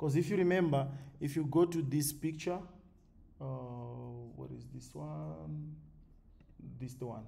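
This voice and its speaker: With audible room echo, a man speaks at a medium pitch in a dark, mellow tone that is somewhat breathy. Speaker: forex trading educator. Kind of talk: tutorial. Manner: fast.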